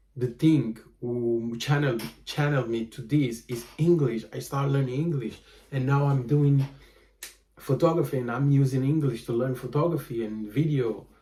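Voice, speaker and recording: Somewhat breathy and dark, mellow in tone, a man speaks at a moderate pace with fairly even intonation. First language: Portuguese. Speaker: vlogger and photographer. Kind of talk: casual monologue vlog. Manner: halting, many fillers.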